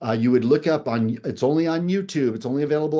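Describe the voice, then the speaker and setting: Against a quiet background, a man talks with a plain, everyday voice. His pace is moderate and his pitch variation ordinary. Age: 60s. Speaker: game show contestant. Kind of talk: interview.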